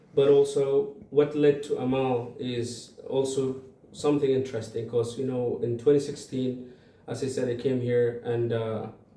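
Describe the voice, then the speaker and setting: Audible room echo follows a man who speaks with an Arabic accent. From Sudan (Darfur). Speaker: community organization founder. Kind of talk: interview. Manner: halting, many fillers and repeats.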